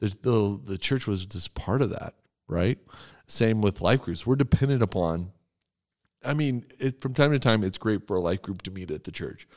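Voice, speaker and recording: In a very clean recording with a silent background and a dry, close sound with no echo, a man with an unremarkable speaking voice talks at a moderate pace, fairly low in pitch, with lively intonation. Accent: American. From Texas. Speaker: church podcast host, pastor. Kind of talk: casual chat about scripture.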